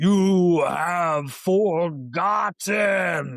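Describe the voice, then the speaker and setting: Putting on a character voice, a man talks at a high pitch. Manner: mournful.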